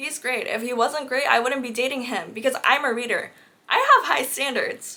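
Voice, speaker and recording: Raising and projecting her voice, a woman speaks with an animated tone and a high pitch. She keeps a moderate pace. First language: not English. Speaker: book content creator. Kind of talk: casual chat.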